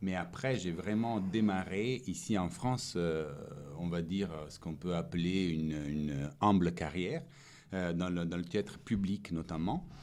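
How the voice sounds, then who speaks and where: A man's very deep, low voice with an Italian accent, at a fairly slow pace with ordinary pitch variation and audible room echo. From Italy. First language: Italian (speaking French). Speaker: stage actor. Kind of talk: interview. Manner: hesitant, many fillers.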